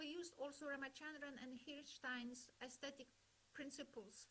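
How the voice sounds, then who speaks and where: This woman has a non-native accent. Her words come fairly slowly. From Poland. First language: not English. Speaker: webinar speaker on language education. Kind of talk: lecture.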